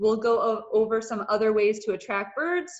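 A woman is speaking. Her pace is moderate against a quiet background. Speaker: presenter. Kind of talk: webinar presentation. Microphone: video call.

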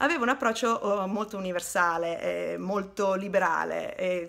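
The tone is bright and sharp, with fairly even intonation. The pace is moderate and the background quiet. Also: woman. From northern Italy, Turin; northern Italy. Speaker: tour guide / history presenter; tour guide, presenter. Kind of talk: educational video narration. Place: home room. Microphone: phone near.

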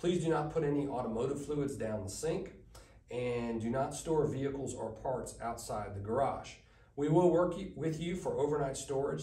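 A man talks at a moderate speed, his voice carrying audible room echo. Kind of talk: briefing presentation. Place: meeting room.

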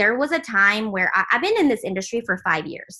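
Her tone is bright and sharp, with lively intonation. The woman speaks at a fairly high pitch over a quiet background. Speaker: team leader training. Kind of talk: training call. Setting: video call. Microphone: video call.

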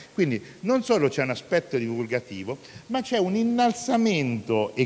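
This man talks at a moderate pace, his intonation lively. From Italy. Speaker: city councillor. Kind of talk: formal welcome speech. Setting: hall with live audience. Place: hall. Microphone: handheld.

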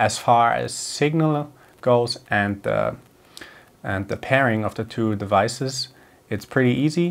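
A man is talking. The pitch moves with ordinary variation. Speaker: gear reviewer. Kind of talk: tutorial. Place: home room. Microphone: lapel.

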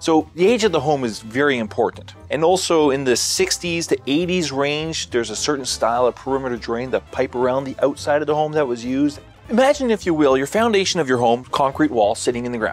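Over faint music in the background, a man talks at a fairly quick pace with hardly any pauses, the sound dry with no echo. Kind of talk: interview answer. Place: studio.

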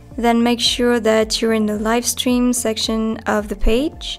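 Music plays in the background as a woman speaks very slowly. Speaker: company tutorial presenter. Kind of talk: software tutorial narration.

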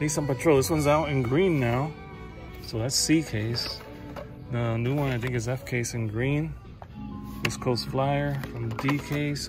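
The speech moves at a moderate pace with long, frequent pauses, recorded dry with no echo over clear music in the background. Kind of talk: casual vlog chat. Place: shop. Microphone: phone near.

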